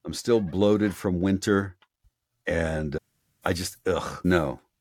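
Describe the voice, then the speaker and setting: This man's voice sits at a very deep, low pitch with ordinary pitch variation, and the sound is dry and close with no echo. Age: 50s. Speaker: audiobook narrator. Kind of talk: casual chat.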